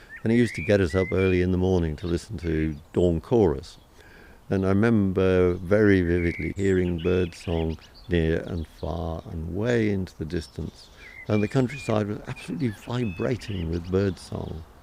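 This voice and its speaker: Over noticeable background noise, a man talks in a very deep, low pitch with ordinary pitch variation. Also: moderate pace. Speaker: amateur naturalist. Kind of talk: oral history interview answer.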